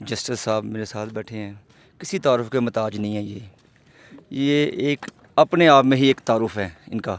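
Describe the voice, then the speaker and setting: At medium pitch and a moderate pace, a man speaks with ordinary pitch variation, big swings in loudness and long, frequent pauses, in a dry, close sound with no echo. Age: 40s. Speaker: vlogger interviewer. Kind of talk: casual interview.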